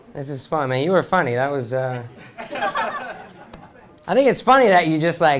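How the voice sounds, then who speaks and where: A man with an American accent speaks at a moderate pace, his pitch swinging very widely. Crowd noise fills the background, and room echo is audible. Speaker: stand-up comedian. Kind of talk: stand-up. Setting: stage with audience.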